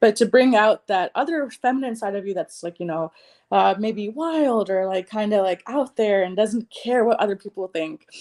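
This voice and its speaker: With lively intonation and a fairly high pitch, a woman speaks in an unremarkable speaking voice at a moderate pace, in a dry, close sound with no echo against a quiet background. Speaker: psychic reader and healer. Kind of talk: spiritual reading. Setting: livestream.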